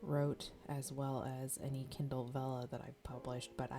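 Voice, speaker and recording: A soft-spoken voice with ordinary pitch variation and music in the background. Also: woman. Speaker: novelist. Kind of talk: ASMR journaling tutorial.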